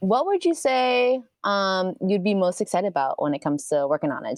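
A woman with an American accent, a plain, everyday voice, and lively intonation at a fairly quick pace, over a quiet background. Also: dry, close sound with no echo. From New York (Bronx). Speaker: podcast host, photographer. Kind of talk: casual chat.

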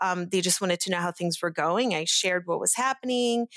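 A woman speaks at medium pitch. The sound is dry and close, with no echo. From Brazil, moved to Pittsburgh area at 10. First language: Portuguese. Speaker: chemical engineer and industry manager. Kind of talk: interview. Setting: video call.

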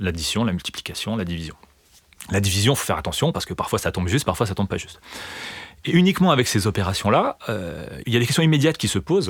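The voice is somewhat breathy, with very wide pitch swings and a very fast pace. Long, frequent pauses break it up. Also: man, fairly low pitch for a man. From eastern France (Vosges). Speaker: mathematics lecturer and researcher. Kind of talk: interview. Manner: halting, many fillers and repetitions.

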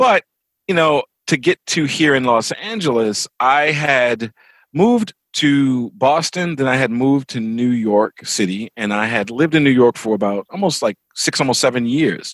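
A man with an American accent has an unremarkable speaking voice at medium pitch and a moderate pace. His intonation is lively, and the sound is dry and close with no echo. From Baltimore, Maryland, US. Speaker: comics and TV writer. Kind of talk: interview.

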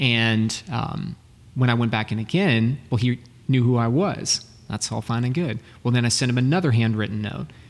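With an American accent, a man speaks at a moderate pace in a plain, everyday voice, medium in pitch and ordinary in its pitch variation. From Texas, Dallas. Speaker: sales and business coach. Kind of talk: interview.

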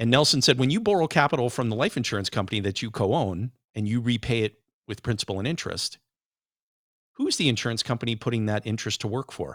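On a very clean recording with a silent background, a man talks at a very fast pace. His pitch is medium. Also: ordinary pitch variation. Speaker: financial advisor. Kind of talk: interview.

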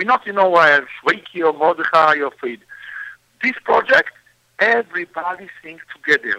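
Speaking with an Israeli accent at a moderate pace, a man with a high pitch uses ordinary pitch variation, big swings in loudness and long, frequent pauses, all in a dry, close sound with no echo. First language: Hebrew. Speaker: singer and composer. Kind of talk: interview. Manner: halting.

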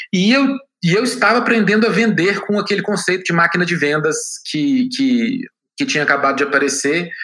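Raised and projected, a man's high-pitched voice moves at a fairly quick pace with lively intonation and very even loudness. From Minas Gerais, Brazil (Belo Horizonte). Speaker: tech entrepreneur. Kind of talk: interview.

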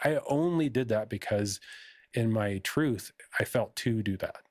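In an ordinary speaking voice, a man speaks at medium pitch with ordinary pitch variation, the sound dry and close with no echo on a very clean recording with a silent background. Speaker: spiritual healer. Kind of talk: casual chat.

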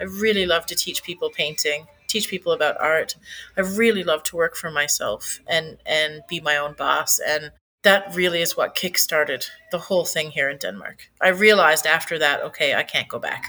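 Music plays in the background as a woman with a Newfoundland accent talks at a moderate pace. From Newfoundland, Canada. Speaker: cafe owner and artist. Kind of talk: interview. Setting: in her cafe.

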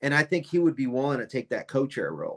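A man speaks at a very fast pace with an American accent. His pitch varies in an ordinary way. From upstate New York. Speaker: retired army officer. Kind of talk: political interview.

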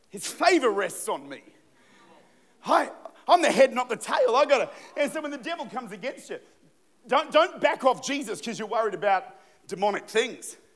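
An animated man with an Australian accent talks at a fairly quick pace in an extremely high pitch, with lively intonation. His loudness swings widely, and he leaves long, frequent pauses. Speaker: pastor. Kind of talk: sermon. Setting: church.

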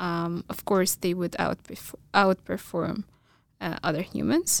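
A woman with an Arabic accent, very slow, fairly even in intonation, dry and close with no echo, on a very clean recording against a silent background. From Egypt, small town. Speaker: computer science graduate student. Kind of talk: casual interview chat. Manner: halting, many fillers.

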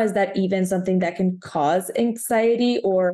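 A woman's medium-pitched voice with a Spanish accent, a dark, mellow tone, fairly even intonation and a fairly slow pace. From Guatemala. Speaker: podcast host. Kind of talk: casual interview.

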